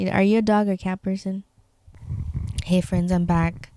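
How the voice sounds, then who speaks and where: Someone speaks in a Spanish accent with fairly even intonation. The sound is dry and close, with no echo. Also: woman. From Tecate, Baja California, Mexico. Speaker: podcaster. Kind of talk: casual chat. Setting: bedroom. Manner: halting.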